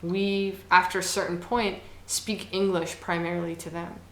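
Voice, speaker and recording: With an American accent, a woman speaks at a fairly slow pace in a fairly low pitch and monotone, flat intonation, amid noticeable background noise and audible room echo. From Ohio, US, Somali household. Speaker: poet. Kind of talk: interview. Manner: halting with frequent fillers.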